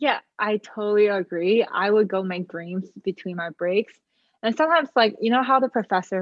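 This woman's pitch moves in an ordinary way. Her speed is moderate. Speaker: student podcast co-host. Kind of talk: casual chat. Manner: hesitant, many fillers.

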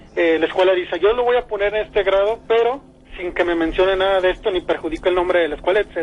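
Through noticeable background noise, a man talks at a very fast pace with a high pitch. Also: ordinary pitch variation. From Mexico. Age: 30s. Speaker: caller. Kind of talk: personal testimony. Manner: halting.

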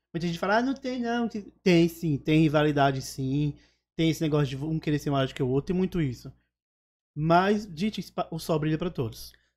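In a very clean recording with a silent background, a man with a slight northeastern Brazilian accent speaks at a fairly high pitch, with lively intonation and long, frequent pauses. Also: moderate pace. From Alagoas, Northeast Brazil. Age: 30s. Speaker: comedian and social media influencer. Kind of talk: casual interview chat.

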